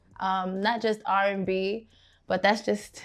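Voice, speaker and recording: A woman with a Brooklyn accent, at a medium pitch and moderate pace, in a monotone, flat intonation against a quiet background. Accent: New York (Brooklyn). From Brooklyn, New York, Guyanese family. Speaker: R&B singer. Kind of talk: interview. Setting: studio.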